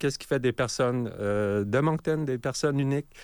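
Very clean recording of a man, silent in the background. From Nunavut, Canadian Arctic (Iqaluit). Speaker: multidisciplinary artist and electronic musician. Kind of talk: radio interview. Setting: radio studio. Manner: halting, repeats words.

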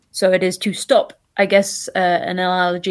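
The recording is very clean, with a silent background. In it, a woman talks with a British accent. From UK. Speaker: scientist. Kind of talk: casual chat.

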